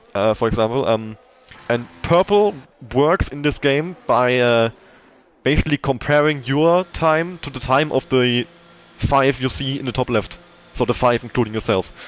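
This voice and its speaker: With a German accent, the man speaks in a medium pitch at a moderate pace, showing ordinary pitch variation. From Germany. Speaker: esports race commentator. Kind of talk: live commentary. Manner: hesitant, many fillers.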